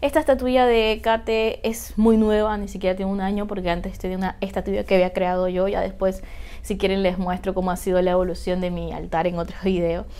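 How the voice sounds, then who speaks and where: A woman talks at a fairly quick pace with fairly even intonation. Her tone is dark and mellow. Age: 30s. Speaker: witchcraft YouTuber and author; spiritual practice vlogger. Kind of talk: tutorial. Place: home room.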